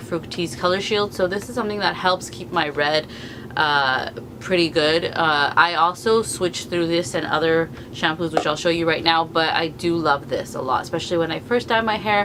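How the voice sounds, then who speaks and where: A woman with a fairly low pitch speaks with lively intonation. Noticeable background noise sits under her voice. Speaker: beauty vlogger. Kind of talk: product review vlog. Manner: fast.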